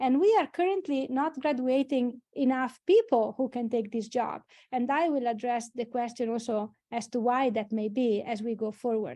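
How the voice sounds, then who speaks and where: Her voice is dark and mellow, high in pitch, as the woman speaks at a moderate pace in an Italian accent with hardly any pauses over a quiet background. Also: ordinary pitch variation. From Italy, Emilia-Romagna. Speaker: engineering dean or academic leader. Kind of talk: webinar presentation. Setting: online webinar. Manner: halting, with many fillers.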